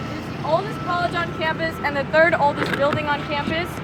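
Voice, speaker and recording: A woman speaks at a fairly quick pace with very wide pitch swings. The recording has audible room echo and noticeable background noise. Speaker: campus tour guide. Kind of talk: guided campus tour. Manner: fast.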